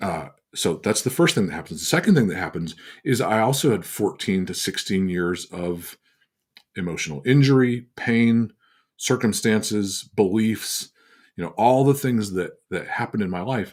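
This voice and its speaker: This man has a plain, everyday voice, pitched fairly low, moving at a moderate pace with lively intonation in a very clean recording with a silent background. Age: 60s. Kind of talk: teaching talk on a livestream. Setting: livestream on social media.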